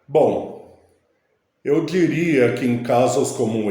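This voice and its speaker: Audible room echo carries a man's very slow speech, which has ordinary pitch variation. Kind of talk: casual vlog monologue.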